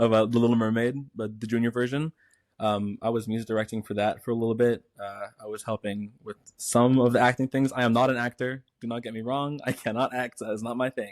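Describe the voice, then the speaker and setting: A man speaks at a fairly quick pace with a slight Caymanian accent and a medium pitch. His intonation is monotone and flat, and the sound is dry and close with no echo. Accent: slight Caymanian accent, British-like vowels. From Cayman Islands. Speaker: music teacher. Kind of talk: casual chat. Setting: podcast.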